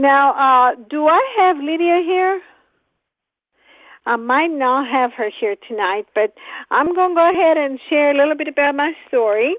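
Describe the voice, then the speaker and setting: A woman talks at a fairly slow pace in a high pitch. Her intonation is lively. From Greece. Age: 60s. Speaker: host of a product conference call. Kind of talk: testimony.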